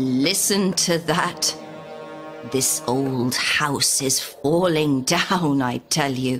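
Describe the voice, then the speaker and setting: A woman's put-on character voice at a very deep, low pitch and a very slow pace, with clear music in the background. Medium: read story.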